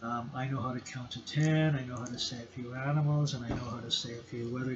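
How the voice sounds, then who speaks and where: In a Canadian accent, the speech runs at a fairly quick pace with monotone, flat intonation, noticeable background noise and audible room echo. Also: man. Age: 60s. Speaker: lecturer. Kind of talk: lecture. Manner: halting.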